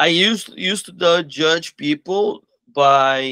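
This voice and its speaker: With a Portuguese accent, a man talks in a bright, sharp tone with ordinary pitch variation against a quiet background. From Brazil, Belo Horizonte; Brazil. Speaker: martial arts school owner. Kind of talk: interview. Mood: calm, earnest. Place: office. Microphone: video call.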